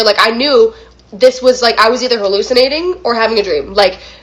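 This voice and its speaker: A woman's high-pitched voice comes through with noticeable noise behind it. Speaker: YouTuber, story reactor. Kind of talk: casual storytelling. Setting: home recording setup. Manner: casual, filler-heavy.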